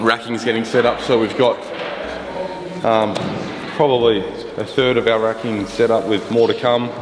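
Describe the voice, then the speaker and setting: A man speaks at a moderate pace while clear music sounds behind him. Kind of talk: casual vlog chat. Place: factory.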